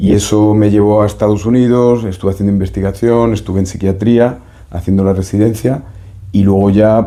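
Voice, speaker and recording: A man speaks at a moderate pace with a dark, mellow tone. His pitch is fairly low and his intonation fairly even. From Spain, Seville. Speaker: doctor and psychotherapist. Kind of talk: interview. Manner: hesitant, many fillers.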